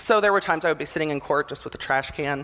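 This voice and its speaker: A woman speaks loudly. Her tone is animated. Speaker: motivational speaker, former prosecutor. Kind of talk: conference talk. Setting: stage with audience.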